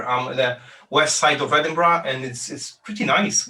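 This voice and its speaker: A man with a Polish accent speaks at a moderate pace with ordinary pitch variation. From Poland. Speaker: business founder. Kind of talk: interview. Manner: halting, many fillers and repeats.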